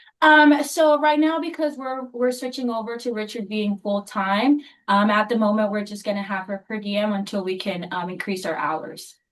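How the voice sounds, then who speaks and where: A woman talks with hardly any pauses at a fairly high pitch. She has a normal speaking voice. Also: moderate pace. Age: 20s. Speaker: pharmacy technician and applicant's daughter. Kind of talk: licensing hearing testimony and interpreting.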